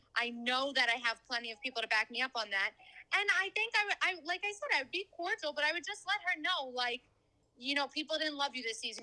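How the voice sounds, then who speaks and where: Speaking very fast in a raised, projected voice, a woman with a bright, sharp tone and high pitch swings her pitch very widely, the sound dry and close with no echo. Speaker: reality TV contestant. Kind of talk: casual chat.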